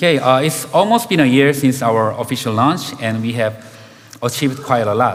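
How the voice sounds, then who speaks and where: In a room with audible echo and noticeable background noise, a man with a Korean accent speaks at a moderate pace, with medium pitch and ordinary pitch variation. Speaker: game director. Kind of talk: conference talk. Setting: stage with audience.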